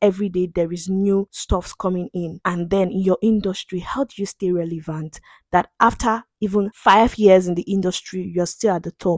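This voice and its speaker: A woman's medium-pitched voice at a moderate pace, with fairly even intonation, hardly any pauses, a dry, close sound with no echo and a plain, everyday voice. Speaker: podcast host. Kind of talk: casual conversation.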